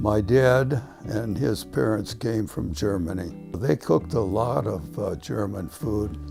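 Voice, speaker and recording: Music plays behind a speaker with an American accent. The pace is fairly slow with hardly any pauses, and the pitch swings very widely. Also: man, fairly low pitch for a man. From Cleveland, Ohio. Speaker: retired teacher and school administrator. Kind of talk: oral history interview answer.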